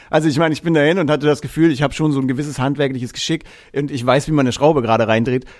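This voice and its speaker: A man's fairly high voice, very fast and fairly even in intonation. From Franconia, Germany (Erlangen near Nuremberg). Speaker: musician and tour technician. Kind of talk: casual chat.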